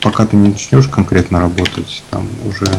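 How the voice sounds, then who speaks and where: Over noticeable background noise, a man with a very deep, low pitch and fairly even intonation talks at a moderate pace. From Russia, Chelyabinsk. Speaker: concept artist. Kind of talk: casual chat while painting. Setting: remote call via Skype on live stream. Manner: halting. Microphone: poor, noisy microphone.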